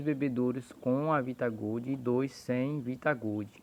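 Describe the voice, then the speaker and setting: A soft-spoken man's voice with a dark, mellow tone. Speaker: poultry breeder. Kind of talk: tutorial. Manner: speaking softly, low volume.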